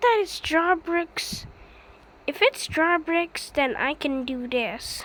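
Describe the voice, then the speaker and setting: In a raised, projected voice, a woman speaks at an extremely high pitch with lively intonation. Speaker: hobbyist builder showing creations. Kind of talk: casual tutorial. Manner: halting, repetitive.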